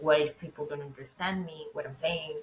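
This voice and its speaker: A woman with a Venezuelan accent and a very deep, low pitch, at a moderate pace, with noticeable background noise. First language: Spanish. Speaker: web and brand designer, expat. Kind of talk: interview chat.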